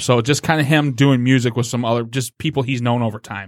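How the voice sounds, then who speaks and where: A normal speaking voice, moderate in pace and ordinary in pitch variation, on a very clean recording with a silent background. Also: man. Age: 30s. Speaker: comic book creator. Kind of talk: casual chat. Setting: studio.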